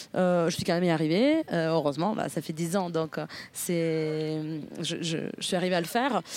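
Speaking at a moderate pace, a woman has a fairly low voice. The recording is very clean, with total silence behind her. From northern Italy, near Milan. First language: Italian (speaking French). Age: 30s. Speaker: podcast guest. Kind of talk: interview conversation. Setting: outdoors in a park. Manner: hesitant, many fillers.

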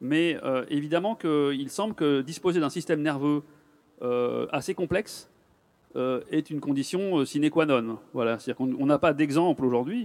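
The recording is very clean, with a silent background. A man with an unremarkable speaking voice, fairly high in pitch, talks at a moderate pace with ordinary pitch variation. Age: 50s. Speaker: neurologist. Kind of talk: public talk. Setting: stage with audience.

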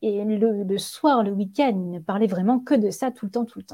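A woman's medium-pitched voice with a dark, mellow tone and ordinary pitch variation. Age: 30s. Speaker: yoga teacher and wellness practitioner. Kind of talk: casual interview. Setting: podcast recording.

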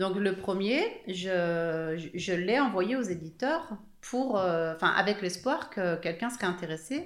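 A woman speaks very slowly at a medium pitch. Her intonation is lively, and the room gives an audible echo. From Haute-Savoie, France (Evian). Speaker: author. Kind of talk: interview.

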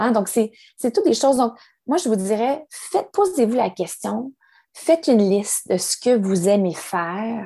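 With a Quebec accent, a woman speaks at a fairly slow pace in a fairly high, dark, mellow voice with lively intonation. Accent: Québécois French. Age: 40s. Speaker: yoga teacher and wellness advisor. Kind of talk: interview. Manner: halting.

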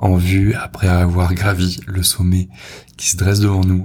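Somewhat breathy, a man talks with a very deep, low pitch. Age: 20s. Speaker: podcast host, copywriter. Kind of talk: personal monologue. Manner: halting, many repetitions and fillers.

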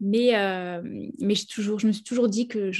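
Against a quiet background, a woman with a dark, mellow tone speaks at a fairly high pitch with fairly even intonation. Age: 30s. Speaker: naturopath. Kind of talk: interview.

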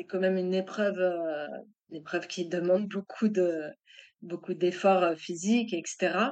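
A woman's normal speaking voice at a medium pitch, with fairly even intonation and a fairly slow pace. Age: 40s. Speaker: web marketer and author. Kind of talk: interview testimony.

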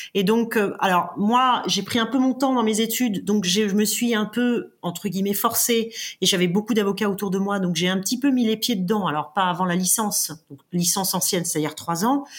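A woman with a somewhat breathy voice speaks with hardly any pauses. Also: medium pitch for a woman, ordinary pitch variation, moderate pace. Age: 40s. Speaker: corporate legal director, former lawyer. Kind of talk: interview. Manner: halting, repeats words.

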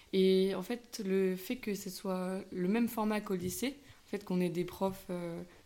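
Speaking at a very slow pace, a woman has a dark, mellow tone, a medium pitch and fairly even intonation. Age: 20s. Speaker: university student. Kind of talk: interview. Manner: hesitant, many fillers.

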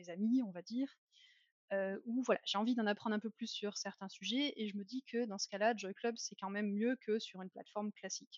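A woman with an ordinary speaking voice talks fairly quickly at a fairly high pitch, her intonation fairly even but her loudness swinging widely. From France. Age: 30s. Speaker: marketing employee of a dating platform. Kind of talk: casual interview.

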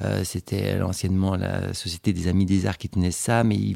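The voice has a dark, mellow tone and fairly even intonation at a moderate pace. It is recorded dry and close with no echo. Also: man. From Switzerland, canton of Fribourg. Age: 40s. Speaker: independent gallery owner. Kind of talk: interview. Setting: at his home. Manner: hesitant, frequent fillers and repetitions.

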